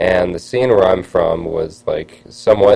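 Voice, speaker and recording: Noticeable background noise accompanies a speaker with an American accent. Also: man. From northern Chicago suburbs, Illinois. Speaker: rock bassist. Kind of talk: radio interview. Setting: radio studio.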